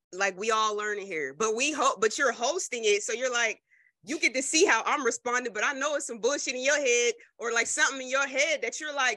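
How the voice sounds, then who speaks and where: In an American accent, a woman speaks at a fairly quick pace in a high voice with a bright, sharp tone and ordinary pitch variation. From US Northeast, New Jersey. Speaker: podcast host. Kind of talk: interview.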